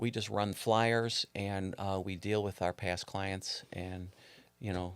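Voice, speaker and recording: At a very slow pace and with monotone, flat intonation, a speaker with an American accent talks on a very clean recording with a silent background. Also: man, fairly low pitch for a man. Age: 60s. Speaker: realtor. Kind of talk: casual interview chat. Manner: halting, many fillers.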